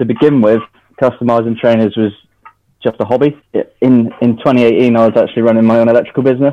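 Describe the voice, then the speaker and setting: In a West Country accent, a man talks at a very fast pace. His pitch is medium and his intonation monotone and flat. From Devon, England. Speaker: trainer customiser, former electrician. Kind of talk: casual interview.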